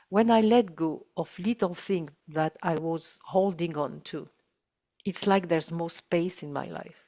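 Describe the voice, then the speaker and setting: The woman's voice sits at a fairly low pitch with ordinary pitch variation. She talks at a fairly slow pace. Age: 60s. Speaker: holistic healer. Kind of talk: casual chat. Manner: halting.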